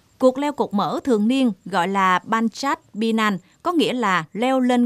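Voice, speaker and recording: A woman with an unremarkable speaking voice talks fairly slowly at a fairly high pitch with lively intonation, on a very clean recording with a silent background and a dry, close sound with no echo. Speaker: news presenter. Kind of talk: news reading. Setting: studio. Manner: formal.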